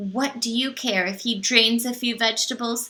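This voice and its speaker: Using a put-on character voice, a woman with a fairly high pitch speaks at a moderate pace. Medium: read story. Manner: kind, earnest.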